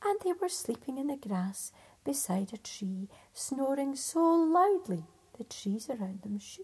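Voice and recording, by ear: A natural voice, reading aloud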